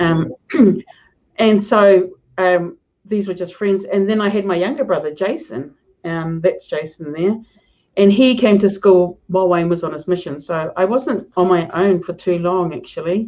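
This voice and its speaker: A woman with a New Zealand accent, dark and mellow in tone, at medium pitch and a moderate pace with ordinary pitch variation. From New Zealand, Hamilton. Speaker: professor. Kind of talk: casual chat.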